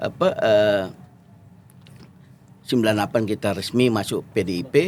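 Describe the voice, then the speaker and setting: With ordinary pitch variation, a man talks at a moderate pace in a fairly low voice. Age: 50s. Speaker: lawyer and former member of parliament. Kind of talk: interview. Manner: halting.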